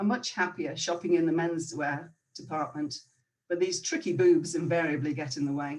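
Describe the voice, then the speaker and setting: A woman with a Northern Irish accent speaks at a moderate pace, her fairly low pitch held in fairly even intonation. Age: 50s. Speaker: storyteller. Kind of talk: personal storytelling.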